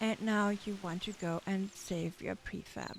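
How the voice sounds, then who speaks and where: Here a woman speaks in a German accent. Her pitch is medium, with ordinary pitch variation. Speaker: gaming tutorial creator. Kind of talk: tutorial. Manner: halting.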